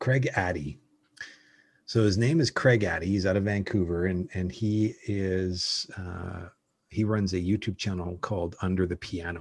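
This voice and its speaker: With a Canadian accent, a man speaks at a fairly slow pace in a very deep, low, somewhat breathy voice. His pitch varies in an ordinary way, and the background is quiet. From Calgary, Canada. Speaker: personal brand strategist. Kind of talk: interview conversation. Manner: halting, frequent repetitions.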